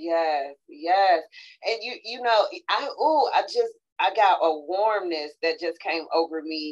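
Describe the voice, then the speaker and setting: A woman at a medium pitch, with lively intonation and a very slow pace. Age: 40s. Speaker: podcast host. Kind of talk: casual chat. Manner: animated.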